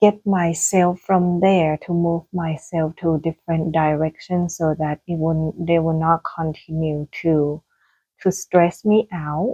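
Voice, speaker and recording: A woman with a Thai accent speaks at a very slow pace. Her fairly low voice keeps a monotone, flat intonation. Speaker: gardening vlogger. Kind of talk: casual vlog monologue. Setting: indoors at home. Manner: hesitant, many fillers.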